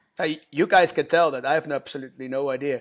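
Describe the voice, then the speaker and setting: The recording is very clean, with a silent background. A man talks at a fairly quick pace in a fairly high pitch. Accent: Dutch. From Netherlands, near Rotterdam. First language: Dutch. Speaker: punk band vocalist and record label owner. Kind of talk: podcast interview.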